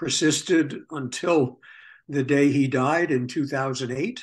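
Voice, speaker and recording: A man with a New York accent at a very slow pace. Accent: New York American. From US Northeast, New York City (Bronx). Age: 70s. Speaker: historian. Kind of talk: interview, life story. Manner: halting, many fillers.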